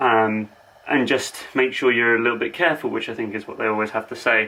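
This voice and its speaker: This is a man speaking with an English accent. His tone is bright and sharp. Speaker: fitness vlogger. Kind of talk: casual vlog. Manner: fast.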